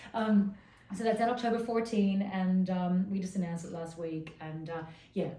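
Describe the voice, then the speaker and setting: The woman's voice sits at medium pitch, somewhat breathy with a dark, mellow tone. She talks at a moderate pace with big swings in loudness, and the room echo is audible. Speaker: fashion journalist and magazine editor. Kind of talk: casual interview chat. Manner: animated.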